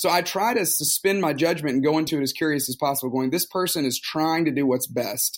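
In a very clean recording with a silent background, a man with an American accent talks at a very fast pace with hardly any pauses. His pitch is fairly high, with ordinary variation. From US South, Tuscaloosa, Alabama. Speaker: pastor. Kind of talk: interview.

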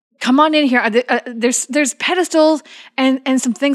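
A woman with an American accent is heard in a dry, close sound with no echo. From US Midwest, Chicago area. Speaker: tabletop game podcast player. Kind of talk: casual chat.

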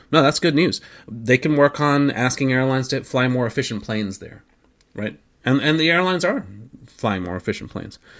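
An unremarkable speaking voice, a man at medium pitch with lively intonation and a fairly quick pace. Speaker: airline ops manager. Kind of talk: casual podcast chat. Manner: chatty, joking.

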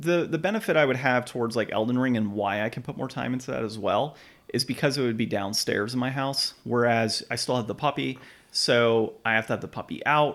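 A man talks at a fairly quick pace in a plain, everyday voice, medium in pitch with ordinary pitch variation. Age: 30s. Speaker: video game podcast host. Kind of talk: casual chat.

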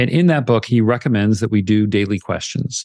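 A man with an ordinary speaking voice talks at a moderate pace in a dry, close sound with no echo. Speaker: coach and author. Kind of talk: interview conversation.

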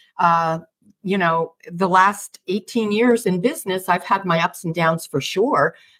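Recorded with a dry, close sound and no echo, a woman at medium pitch talks at a fairly slow pace with ordinary pitch variation. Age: 60s. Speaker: intuition coach for women business owners. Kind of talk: podcast interview. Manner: animated.

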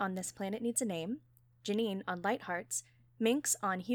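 Pitch variation is ordinary. The delivery is plain reading aloud.

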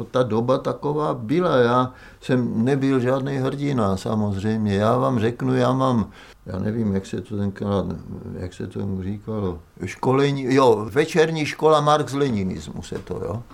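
Keeping to a fairly slow pace, a man with an ordinary speaking voice talks at medium pitch with ordinary pitch variation. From central Moravia, Olomouc region. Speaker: architect and university teacher. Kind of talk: oral history testimony.

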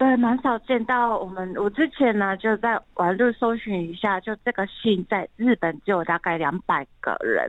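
A woman at a fairly slow pace with hardly any pauses, a fairly high pitch and ordinary pitch variation. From Japan, Tokyo. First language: Japanese (speaking Chinese). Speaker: translator. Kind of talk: radio interview.

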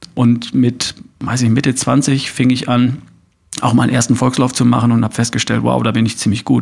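A man is speaking. His pace is fairly quick. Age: 50s. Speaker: podcaster and coach. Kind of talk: interview. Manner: hesitant fillers.

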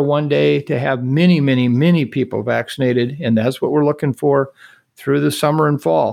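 This man speaks at a moderate pace in a plain, everyday voice, fairly high in pitch with ordinary pitch variation, over a quiet background. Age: 60s. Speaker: infectious disease expert. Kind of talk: interview.

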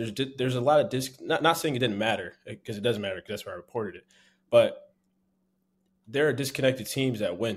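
On a very clean recording with a silent background, a man with an American accent talks at a very fast pace, with long, frequent pauses, big swings in loudness and ordinary pitch variation. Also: medium pitch for a man. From US Northeast, Philadelphia. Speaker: sports beat reporter. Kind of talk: podcast interview. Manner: halting, many fillers.

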